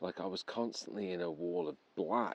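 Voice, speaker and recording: A man with an English accent and a very deep, low voice. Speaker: paranormal investigator vlogger. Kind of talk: vlog monologue. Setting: outdoors at night in woods; in a camper van. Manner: hesitant, many fillers.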